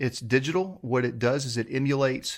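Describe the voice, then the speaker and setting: At a moderate pace, a man speaks in a medium pitch on a very clean recording with a silent background. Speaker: YouTuber demonstrating guitar pedals. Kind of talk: gear tutorial. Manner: stumbling over words.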